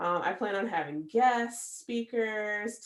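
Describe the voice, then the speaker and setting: A woman's fairly slow speech in a Midwestern American accent. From US Midwest, Michigan (Battle Creek). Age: 30s. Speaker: podcast host. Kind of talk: personal monologue podcast. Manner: casual, many fillers.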